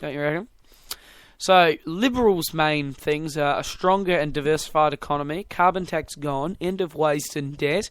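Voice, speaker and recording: A man's fairly high voice in a New Zealand accent, ordinary pitch variation, moderate pace, on a very clean recording with a silent background. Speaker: podcast host. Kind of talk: casual chat.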